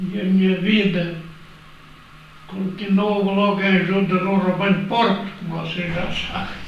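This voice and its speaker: A man with a high-pitched voice speaks in a flat monotone at a fairly slow pace, leaving long, frequent pauses. The room echo is audible, and background noise is noticeable. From Alentejo, Portugal (Alcáçovas). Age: 90s. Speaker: elderly care home resident. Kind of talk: life story interview.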